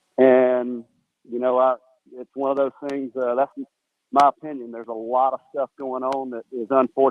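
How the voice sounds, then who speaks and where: This man speaks at a moderate pace and medium pitch. His loudness swings widely. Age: 60s. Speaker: caller. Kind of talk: casual chat.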